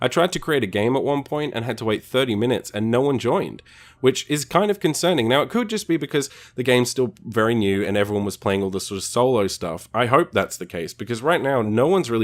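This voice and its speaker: Talking at a very fast pace, a man with an Australian accent uses lively intonation. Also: medium pitch for a man, very clean recording, silent background. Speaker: video game reviewer. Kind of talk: review commentary. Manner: casual, conversational.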